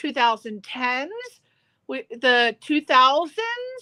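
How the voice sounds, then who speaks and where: Raised and projected, a woman's high voice comes across with a bright, sharp tone and ordinary pitch variation, in a dry, close sound with no echo. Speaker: radio show host. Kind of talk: interview question.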